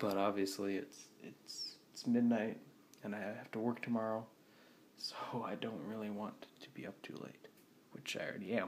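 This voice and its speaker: A man uses a put-on character voice at a medium pitch and moderate pace. He is quiet and mumbling. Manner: quiet, mumbling.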